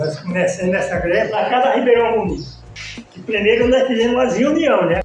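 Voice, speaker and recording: Against noticeable background noise, a man talks at an extremely high pitch. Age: 80s+. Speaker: settlement resident. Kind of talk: interview testimony.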